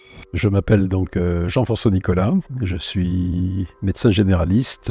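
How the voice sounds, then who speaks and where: Music plays behind a man with a very deep, low voice. He talks fairly slowly with fairly even intonation. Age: 70s. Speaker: general practitioner. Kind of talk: interview testimony. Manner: halting, frequent hesitations and repetitions.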